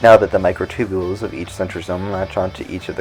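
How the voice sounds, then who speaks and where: Music plays in the background. A man with a very deep, low pitch talks at a very fast pace. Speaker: science educator. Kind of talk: educational science explainer.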